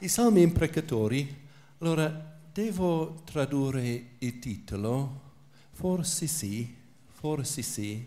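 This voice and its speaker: In an English accent, a somewhat breathy speaker with a dark, mellow tone and lively intonation talks at a very slow pace amid audible room echo. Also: man. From England. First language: English (speaking Italian). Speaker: priest and biblical scholar. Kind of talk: lecture.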